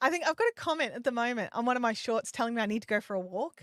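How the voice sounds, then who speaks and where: Speaking at a fairly quick pace, a woman with an Australian accent has a high pitch and lively intonation. The sound is dry and close, with no echo. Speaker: live streaming and YouTube coach. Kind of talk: live stream Q&A chat. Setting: live stream. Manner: casual, halting with repetitions.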